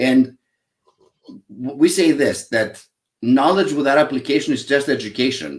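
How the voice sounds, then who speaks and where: Speaking at a moderate pace, a man with a Greek accent has a fairly high pitch. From Greece (Athens). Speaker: psychologist, happiness expert and author. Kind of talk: interview. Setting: live online show.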